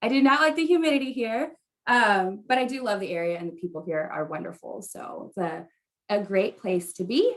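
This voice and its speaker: Lively intonation and a moderate pace from a woman with a plain, everyday voice. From US Midwest, Wisconsin. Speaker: event coordinator and host. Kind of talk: virtual event hosting.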